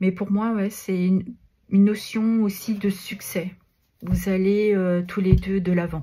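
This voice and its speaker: In a very clean recording with a silent background, a woman with a medium pitch and a dark, mellow, somewhat breathy tone talks at a very slow pace. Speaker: tarot card reader. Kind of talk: tarot reading guidance. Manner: hesitant, many filler sounds.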